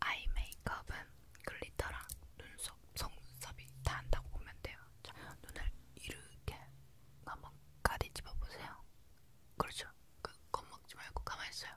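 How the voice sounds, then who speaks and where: A woman whispers at a moderate pace, her loudness swinging widely, with long pauses that come often. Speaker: makeup roleplay host. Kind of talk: soft-spoken roleplay. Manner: soft close-mic ASMR murmur. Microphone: handheld.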